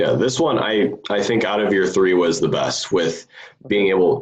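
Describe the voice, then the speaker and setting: A man speaks with lively intonation. Noticeable background noise and audible room echo come through. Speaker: preacher in sermon feedback group. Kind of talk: casual chat, sermon critique. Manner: halting.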